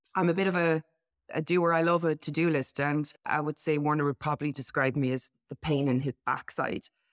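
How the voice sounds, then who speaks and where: With an Irish accent, a woman talks fairly quickly at a very deep, low pitch with fairly even intonation, in a dry, close sound with no echo. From Ireland. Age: 30s. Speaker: podcast co-host. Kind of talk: casual chat, podcast conversation.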